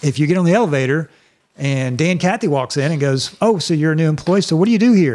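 The speaker talks very fast with an American accent. Pitch variation is ordinary. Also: man. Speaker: church staff leader. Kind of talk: casual chat.

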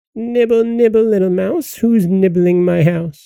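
Putting on a character voice, a man speaks high and shrill at a moderate pace.

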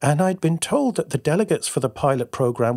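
A man's unremarkable speaking voice, lively in intonation at a moderate pace, dry and close with no echo on a very clean recording with a silent background. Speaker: podcast host and creative coach. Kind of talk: podcast intro and interview.

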